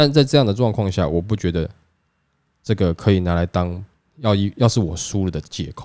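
Recorded very cleanly against a silent background, a man with a Taiwanese accent speaks at a fairly quick pace in a very deep, low pitch with a dark, mellow tone. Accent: Taiwanese Mandarin. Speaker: podcast host. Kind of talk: casual chat.

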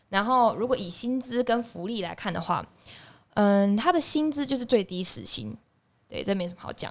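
A woman speaks at a moderate pace with a fairly high pitch and lively intonation. Her loudness swings a lot, in a very clean recording with a silent background. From Taiwan, Tainan. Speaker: podcast host. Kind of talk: casual chat.

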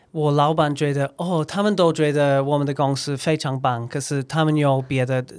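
A man with an ordinary speaking voice talks at a moderate pace with hardly any pauses, fairly high in pitch and fairly even in intonation. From Scotland; Edinburgh, Scotland. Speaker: recruiter and former English teacher. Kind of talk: casual interview chat. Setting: in-person studio recording.

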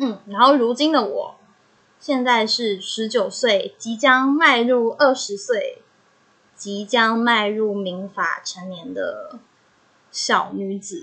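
A woman speaks very slowly with a Taiwanese accent. Her fairly high voice has lively intonation. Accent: Taiwanese Mandarin. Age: young. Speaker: podcaster. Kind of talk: personal monologue.

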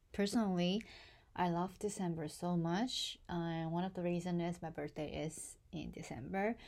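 Heard in a very clean recording with a silent background, a woman with a normal speaking voice talks at a fairly low pitch and fairly slow pace with ordinary pitch variation. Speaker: podcaster. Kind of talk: casual monologue; reading aloud.

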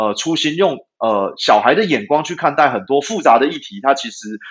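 Talking at a fairly quick pace, a man with a Taiwanese accent lets his pitch swing very widely. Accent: Taiwanese Mandarin. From Taiwan, Taipei. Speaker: dairy cattle veterinarian and company founder. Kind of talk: interview. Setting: remote connection. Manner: hesitant, many filler sounds.

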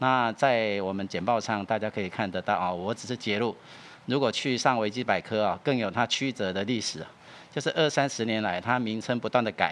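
At a fairly quick pace, a man with a plain, everyday voice speaks at a fairly low pitch with ordinary pitch variation. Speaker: music archive director. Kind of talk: interview. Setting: studio.

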